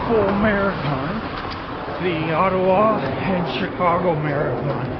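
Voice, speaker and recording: A man with a high pitch and ordinary pitch variation is heard with audible room echo and noticeable background noise. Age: 50s. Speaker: runner with Parkinson's disease. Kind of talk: casual chat while running. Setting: outdoors, running.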